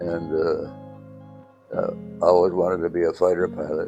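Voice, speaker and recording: A man with an American accent, a very deep, low pitch and lively intonation, with music in the background. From upstate New York. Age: 80s+. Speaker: World War II veteran fighter pilot. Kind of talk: interview answer. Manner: hesitant, with frequent fillers.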